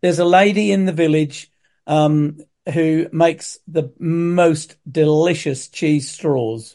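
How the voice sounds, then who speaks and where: Very slow in pace, a man with an East Anglian accent speaks in a dark, mellow tone at a fairly high pitch with ordinary pitch variation. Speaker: tour guide and family history expert. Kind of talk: casual chat.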